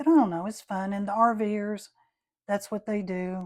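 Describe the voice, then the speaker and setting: Speaking at a moderate pace, a woman is heard in a dry, close sound with no echo. The recording is very clean, with a silent background. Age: 60s. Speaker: watercolor artist. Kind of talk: tutorial. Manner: casual, chatty.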